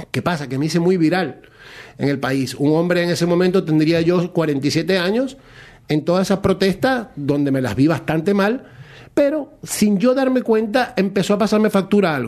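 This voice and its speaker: At a moderate pace, this man talks with a high pitch. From Venezuela, Maracaibo. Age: 50s. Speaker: para-athlete, rower. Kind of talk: radio interview, personal testimony.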